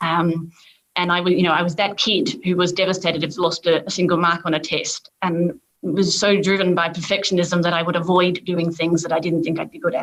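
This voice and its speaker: A woman speaks in an Australian accent at a fairly quick pace. Her pitch is fairly low, and her intonation is monotone and flat. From Australia, suburban Melbourne. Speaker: corporate lawyer and diversity leader. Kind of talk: panel discussion.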